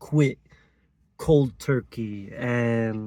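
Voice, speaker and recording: The recording is very clean with a silent background. A man speaks at a medium pitch in a dark, mellow tone, with ordinary pitch variation. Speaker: vlogger. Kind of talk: personal testimony. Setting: outdoors, in or by a car at a mountain spot. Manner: hesitant, halting; quiet.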